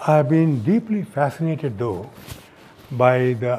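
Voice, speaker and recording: The voice has a dark, mellow tone. It comes across somewhat breathy. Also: man. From India. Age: 70s. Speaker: theoretical physicist. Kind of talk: oral history interview. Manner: halting; formal.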